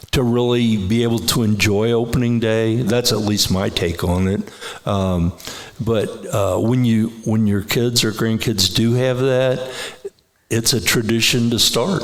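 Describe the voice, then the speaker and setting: Noticeable background noise and audible room echo surround a man speaking at a fairly slow pace. His voice is medium in pitch, with ordinary pitch variation. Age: 70s. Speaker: lifelong trout angler. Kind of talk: casual chat. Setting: stage with audience. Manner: halting.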